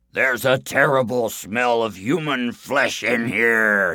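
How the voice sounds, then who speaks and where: In a put-on character voice, a man bellows and growls loudly at a medium pitch and a fairly slow pace. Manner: bellowing, loud, menacing.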